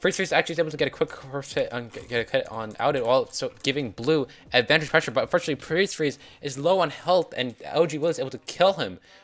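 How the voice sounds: A man at a fast pace with few pauses, medium pitch, ordinary pitch variation and a fairly bright tone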